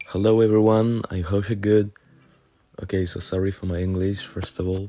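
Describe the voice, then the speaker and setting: A very deep, low-pitched man with a French accent, fairly even intonation, music in the background. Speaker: music producer. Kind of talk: channel announcement. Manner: halting, many filler sounds.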